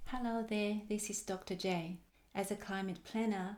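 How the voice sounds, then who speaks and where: A woman's flat, monotone voice with an Australian accent at a moderate pace. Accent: Australian-tinged. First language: Chinese. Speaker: climate planner. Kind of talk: work presentation. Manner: formal.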